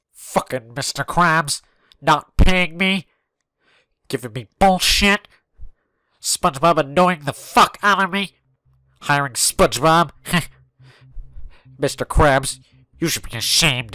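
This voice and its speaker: Speaking fairly slowly with long, frequent pauses, a man with a fairly high voice is captured in a dry, close recording with no echo. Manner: angry, cursing.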